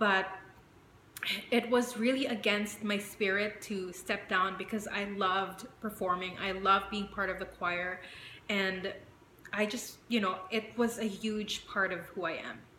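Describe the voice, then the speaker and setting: Over noticeable background noise and audible room echo, a woman of medium pitch speaks fairly slowly in a monotone, flat intonation. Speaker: vlogger. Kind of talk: personal vlog. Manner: conversational with many fillers.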